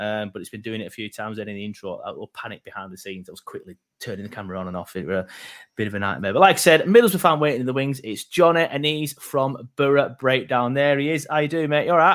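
A man speaks very fast at medium pitch, with very wide pitch swings and big swings in loudness, on a very clean recording with a silent background. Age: 30s. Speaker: football podcast host. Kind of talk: casual football fan chat.

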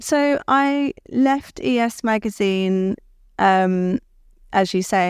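On a very clean recording with a silent background, a woman with a London accent speaks at a medium pitch with lively intonation, the sound dry and close with no echo. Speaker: creative director. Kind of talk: interview at live event.

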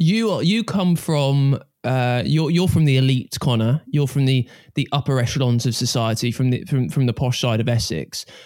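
At a moderate pace, a man talks at medium pitch with a slightly mellow tone. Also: ordinary pitch variation.

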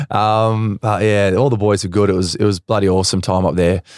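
A fairly low-pitched man with an Australian accent, monotone and flat, at a fairly quick pace, in a very clean, dry, close recording with a silent background and no echo. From Western Australia. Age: 20s. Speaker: professional footballer. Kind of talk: casual chat.

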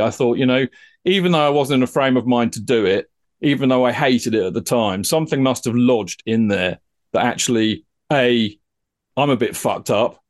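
Over a quiet background, the speaker uses lively intonation with an English accent. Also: man. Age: 50s. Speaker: psychotherapist and counsellor, former TV producer. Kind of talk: casual chat.

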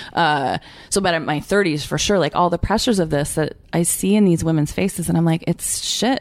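A woman with an unremarkable speaking voice talks at a fairly quick pace in a fairly low pitch, with ordinary pitch variation and very even loudness. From Canada. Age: 40s. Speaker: author and journalist. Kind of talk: interview conversation.

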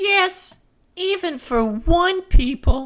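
The put-on character voice moves at a very slow pace with lively intonation. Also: woman, extremely high pitch for a woman.

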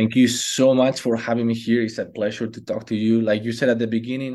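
A man speaks with a Spanish accent at a medium pitch. His tone is dark and mellow, and his intonation is monotone and flat. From Spain. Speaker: fitness coach and former basketball player. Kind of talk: casual interview.

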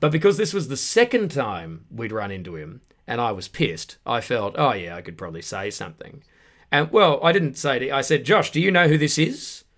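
Speaking at a fairly quick pace with an Australian accent, a man shows vocal fry. His pitch swings very widely and his loudness swings greatly. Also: medium pitch for a man. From Western Australia, Perth suburbs. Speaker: comedian. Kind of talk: casual chat. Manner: animated.

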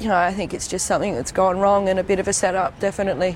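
Over noticeable background noise, a woman with an Australian accent speaks at a very fast pace. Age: 20s. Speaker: daughter of a missing gang leader. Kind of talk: interview testimony.

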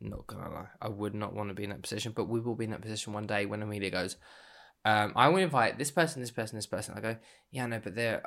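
On a very clean recording with a silent background, a man with an English accent talks very fast in a fairly low voice with fairly even intonation. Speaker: podcast co-host, parent. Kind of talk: casual chat.

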